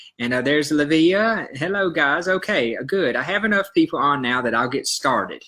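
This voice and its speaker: Over a very clean recording with a silent background, a man with a Southern US accent talks at a moderate pace. His fairly high voice has a bright, sharp tone and lively intonation. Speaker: health educator, iridologist. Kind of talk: live stream talk. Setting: live video stream. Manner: hesitant, many fillers.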